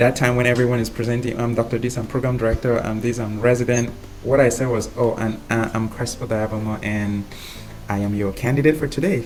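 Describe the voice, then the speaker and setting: Delivery runs at a fairly quick pace. Behind it, background noise is noticeable. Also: man, medium pitch for a man. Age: 30s. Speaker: physician mentoring IMG applicants. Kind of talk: webinar Q&A advice. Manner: confident, upbeat.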